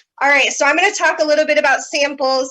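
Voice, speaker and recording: A woman speaks in a raised, projected voice. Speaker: direct sales consultant. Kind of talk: team meeting presentation.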